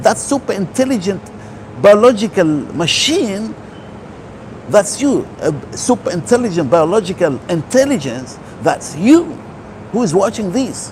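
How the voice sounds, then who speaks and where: Noticeable background noise sits behind a man talking at a fairly slow pace, with long, frequent pauses. His voice is high, and his pitch swings very widely. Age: 60s. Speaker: holistic health speaker. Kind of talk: motivational talk.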